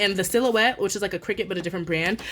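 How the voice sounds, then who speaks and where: A woman with a plain, everyday voice, medium pitch, and ordinary pitch variation. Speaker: budgeting YouTuber. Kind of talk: casual vlog tutorial. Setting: at home. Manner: casual, chatty.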